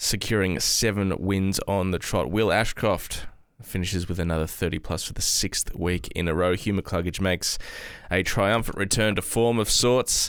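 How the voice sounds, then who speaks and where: Speaking with an Australian accent, a man keeps a fairly low pitch and fairly even intonation. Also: moderate pace. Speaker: football podcast co-host. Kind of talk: casual chat. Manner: slurs words together.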